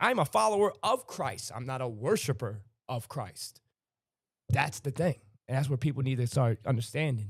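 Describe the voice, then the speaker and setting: Speaking at medium pitch with a somewhat breathy voice, a man uses lively intonation at a moderate pace. The recording is very clean with a silent background. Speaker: livestream host. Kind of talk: casual chat. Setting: live stream.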